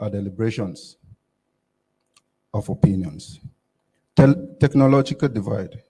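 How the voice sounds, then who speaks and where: A man's medium-pitched, somewhat breathy voice, dark and mellow in tone, at a moderate pace with very wide pitch swings and long, frequent pauses. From Nigeria, Kogi State. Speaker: youth summit delegate. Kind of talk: prepared speech. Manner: formal.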